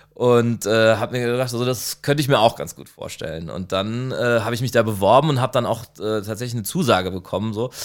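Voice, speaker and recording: Speaking at a fairly quick pace with hardly any pauses, a man with a medium-pitched voice uses ordinary pitch variation while his loudness swings widely. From Heidelberg, Germany. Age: 30s. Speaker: ice cream shop owner. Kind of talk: interview. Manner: halting, many fillers.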